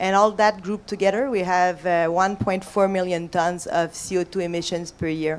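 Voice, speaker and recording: A woman with a French-Canadian accent and a medium pitch speaks at a moderate pace with hardly any pauses and fairly even intonation. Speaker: corporate decarbonization manager. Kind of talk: panel discussion.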